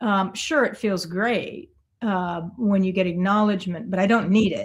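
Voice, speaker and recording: The speaker is somewhat breathy, moving at a moderate pace with ordinary pitch variation. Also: woman, medium pitch for a woman. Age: 60s. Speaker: artist and coach. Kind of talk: podcast interview. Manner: halting.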